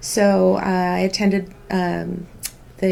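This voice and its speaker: This is a woman's voice. She speaks with a Californian accent. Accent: Californian American English. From Southern California (Santa Ana). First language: Spanish. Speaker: healthcare business executive. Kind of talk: school news show interview. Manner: measured, with frequent filler words.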